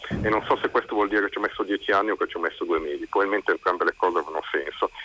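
Very fast speech comes from a man, with a dry, close sound and no echo. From Italian provinces, not Milan. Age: 50s. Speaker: writer. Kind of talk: radio interview. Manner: halting, many repetitions.

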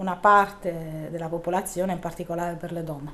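Over noticeable background noise, a woman talks at a moderate pace with a fairly low pitch and monotone, flat intonation. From southern Italy, Bari. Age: 40s. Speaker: local politician. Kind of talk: interview.

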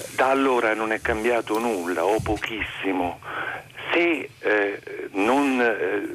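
A man talks over noticeable background noise. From Molise, Italy. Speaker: music high school teacher, caller. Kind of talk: phone-in call. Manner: animated.

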